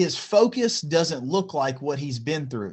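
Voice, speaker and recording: A man's fairly high-pitched voice. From Kentucky. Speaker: podcast host. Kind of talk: casual interview. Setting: video call. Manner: stammering at times.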